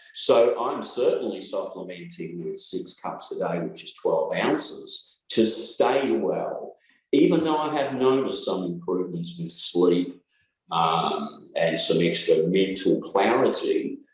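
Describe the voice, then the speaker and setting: Fairly slow delivery from a man with an Australian accent. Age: 60s. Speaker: chiropractor and naturopath. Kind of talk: interview.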